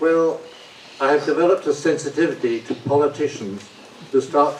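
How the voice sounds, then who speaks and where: Noticeable background noise accompanies a man with a London accent talking at a moderate pace in a fairly high voice. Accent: British English, London. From London, England. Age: 80s+. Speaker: audience member. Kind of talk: audience question.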